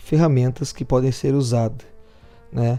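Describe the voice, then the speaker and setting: Music plays in the background as a man talks at a moderate pace and medium pitch. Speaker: podcast workshop instructor. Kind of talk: lecture.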